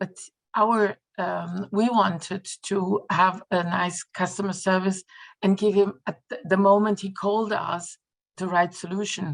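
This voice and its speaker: Her intonation monotone and flat, a woman with a non-native accent speaks at a fairly slow pace. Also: medium pitch for a woman. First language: not English. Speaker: customer support specialist. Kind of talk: webinar interview. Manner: halting, many hesitations.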